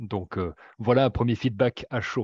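In an unremarkable speaking voice, a man talks fairly slowly at a medium pitch with ordinary pitch variation, in a dry sound with no echo against a quiet background. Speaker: webinar co-moderator. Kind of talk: moderated Q&A. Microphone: video call.

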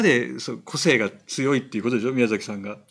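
A man is speaking. His pace is fairly quick. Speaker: film critic and translator; film critic co-host. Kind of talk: casual chat. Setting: live stream. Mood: relaxed, laughing. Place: studio. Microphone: studio mic.

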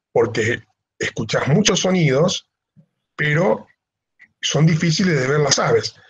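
His intonation is lively as this man speaks. There is a somewhat breathy quality to his voice. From Argentina, Misiones (El Dorado); Misiones, Argentina. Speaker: wildlife photographer; guest. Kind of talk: online talk with slideshow. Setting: video call. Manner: halting. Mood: relaxed, friendly. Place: home room. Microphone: video call.

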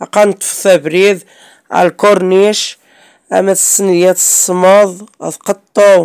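A woman's plain, everyday voice at a medium pitch, at a fairly slow pace. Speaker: YouTuber. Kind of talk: casual vlog. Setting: outdoors.

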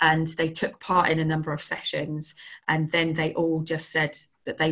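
Against a quiet background, a woman with a London accent speaks at a moderate pace in a very deep, low voice with monotone, flat intonation. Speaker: dance company artistic director. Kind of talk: online workshop presentation. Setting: video call. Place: home room. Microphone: video call.

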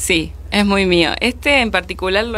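A woman's medium-pitched voice, fairly slow, with ordinary pitch variation. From General Deheza, Córdoba, Argentina; Córdoba, Argentina. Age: 20s. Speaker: young poet and author; young poet. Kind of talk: interview. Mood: calm, slightly shy. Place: studio. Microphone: studio mic.

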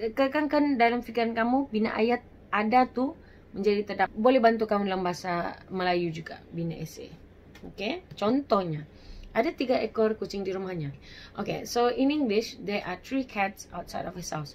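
A woman with a fairly high pitch speaks at a moderate pace with lively intonation. Her loudness swings widely over light background noise. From Malaysia. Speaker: English teacher. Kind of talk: tutorial. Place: home room.

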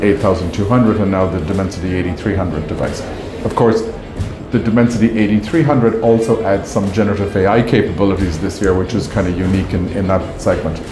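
A man's fairly low voice at a fairly quick pace, fairly even in intonation, over noticeable background noise. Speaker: company marketing executive. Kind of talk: interview answer. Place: hall. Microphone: lapel.

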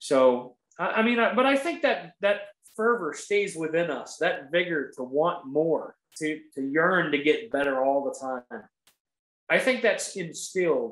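Audible room echo surrounds a man with an American accent and a high pitch. He speaks at a fairly slow pace with very wide pitch swings. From northern Maine, US. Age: 40s. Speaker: country guitarist and guitar teacher; guest. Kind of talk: casual interview chat; interview answer. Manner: animated. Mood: warm, animated. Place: home room. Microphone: video call.

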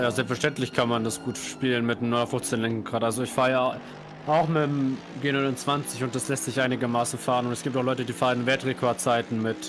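Monotone, flat intonation from a man at a moderate pace, with noticeable background noise. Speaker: sim racing driver and co-streamer. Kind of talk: casual live commentary of sim race. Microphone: studio mic.

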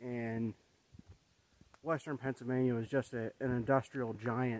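A man at a fairly slow pace with monotone, flat intonation, in a dry sound with no echo. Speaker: vlogger. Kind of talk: casual vlog chat. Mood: reflective, thoughtful. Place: forest. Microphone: phone near.

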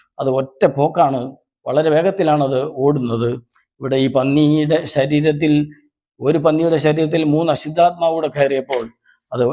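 A fairly high-pitched male voice with a dark, mellow tone. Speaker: lay preacher. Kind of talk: sermon. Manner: formal.

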